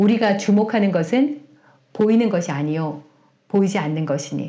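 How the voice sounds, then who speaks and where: With a Gyeongsang accent and lively intonation, a woman speaks amid audible room echo. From South Korea, Gyeongsang region. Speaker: Bible teacher, pastor's wife. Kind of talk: sermon-style Bible teaching.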